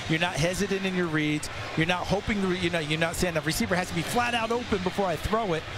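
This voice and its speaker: Over noticeable background noise, a man with a high pitch talks at a very fast pace, keeping his loudness very even and his pitch variation ordinary. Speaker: football color commentator. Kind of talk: live commentary. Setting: stadium broadcast booth.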